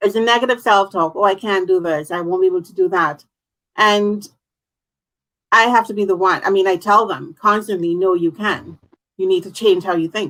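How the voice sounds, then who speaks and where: A woman has a plain, everyday voice at medium pitch. She talks at a fairly quick pace with fairly even intonation. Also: big swings in loudness. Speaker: talk show host. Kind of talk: online interview host.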